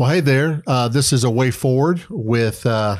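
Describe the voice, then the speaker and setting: A man talks fairly slowly, and the recording is very clean with total silence behind him. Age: 50s. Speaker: pastor. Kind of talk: casual chat. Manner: hesitant, many fillers.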